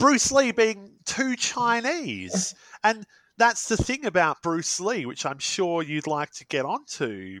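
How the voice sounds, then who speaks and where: A man with an Australian accent speaks very slowly in a high, bright, sharp voice, with big swings in loudness, very wide pitch swings, and a dry, close sound with no echo. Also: very clean recording, silent background. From Australia, Perth suburbs. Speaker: guest host. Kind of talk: casual chat.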